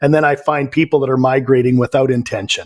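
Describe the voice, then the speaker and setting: In a very clean recording with a silent background, a man with a fairly high voice and a Canadian accent speaks with fairly even intonation. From western Canada, Vancouver. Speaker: life coach. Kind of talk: interview.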